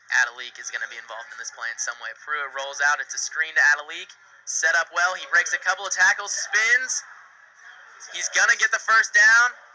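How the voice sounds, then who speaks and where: His voice raised and projected, a man speaks in a high pitch with an excited tone, very wide pitch swings and a fairly quick pace. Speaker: sports broadcaster. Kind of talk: football play-by-play commentary. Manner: fast, excited.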